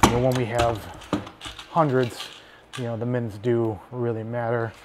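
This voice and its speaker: Loud background noise fills the clip. The speech comes at a fairly quick pace. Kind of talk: tutorial. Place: workshop. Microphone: phone near.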